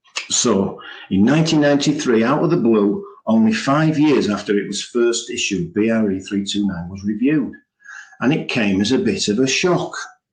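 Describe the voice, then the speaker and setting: Audible room echo surrounds a man speaking at medium pitch. His pitch swings very widely. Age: 60s. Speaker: building preservation specialist. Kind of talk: webinar presentation. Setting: online webinar. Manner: casual, conversational.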